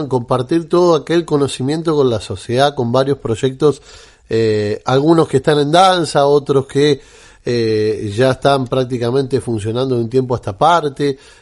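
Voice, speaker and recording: In a Rioplatense accent, a man speaks at a fairly high pitch with ordinary pitch variation. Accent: Argentine Spanish (rioplatense). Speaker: radio host. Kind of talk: radio interview. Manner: hesitant, many fillers.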